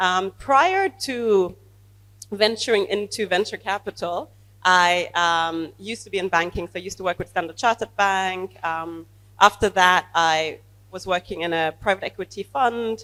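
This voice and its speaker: A woman with a bright, sharp tone is heard on a very clean recording with a silent background. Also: medium pitch for a woman, ordinary pitch variation, moderate pace. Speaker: venture capital investor. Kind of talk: panel discussion.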